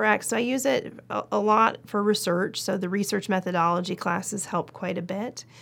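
This is a plain, everyday voice, a woman's at medium pitch with an American accent. She keeps a moderate pace with hardly any pauses. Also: fairly even intonation. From Oregon, US. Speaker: orthopedic surgeon. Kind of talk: interview.

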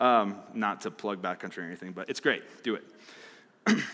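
Speaking fairly slowly in an American accent, a man uses a bright, sharp tone and very wide pitch swings. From Arizona. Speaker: youth pastor. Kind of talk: sermon.

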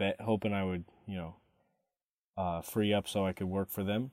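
This man's pitch is very deep and low. He keeps a moderate pace and fairly even intonation. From Texas, Katy near Houston. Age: 20s. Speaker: podcaster. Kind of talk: personal monologue. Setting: home room. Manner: loud; halting.

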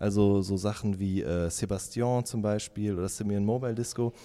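A man's dark, mellow tone at a moderate pace. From Ruhr area, Germany. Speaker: music journalist. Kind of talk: interview.

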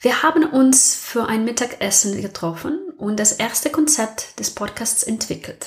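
A woman speaks with a high pitch and ordinary pitch variation. Her pace is fairly slow. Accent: non-native. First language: not German (speaking German). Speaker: podcast host. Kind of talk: personal monologue.

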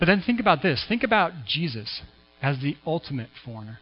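A voice with an American accent moves through very wide pitch swings. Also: man. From US Pacific Northwest, Washington State. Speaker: pastor. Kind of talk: sermon. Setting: church.

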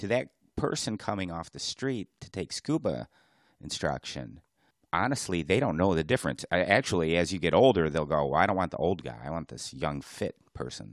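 On a very clean recording with a silent background and a dry, close sound with no echo, the voice has vocal fry, very wide pitch swings and big swings in loudness at a moderate pace. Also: man, very deep, low pitch for a man. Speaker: diving podcast co-host, dive instructor. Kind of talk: casual chat. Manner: soft-spoken.

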